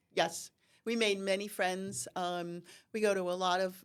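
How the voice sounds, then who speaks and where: A woman with medium pitch and an ordinary speaking voice, fairly slow, with fairly even intonation, in a very clean recording with a silent background. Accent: American. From New Jersey (Sussex County). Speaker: horticultural therapy business owner. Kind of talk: podcast interview.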